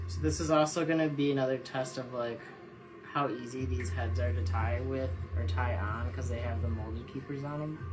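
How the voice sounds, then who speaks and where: Over music in the background, a man with a very deep, low voice makes very wide pitch swings, and the room echo is audible. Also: fairly quick pace. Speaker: jig tier and tackle maker. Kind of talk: casual live-stream tutorial. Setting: Instagram live stream at tying bench. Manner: casual, meandering.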